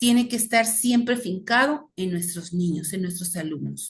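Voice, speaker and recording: A woman speaks in a somewhat breathy voice. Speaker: teacher. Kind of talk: lecture.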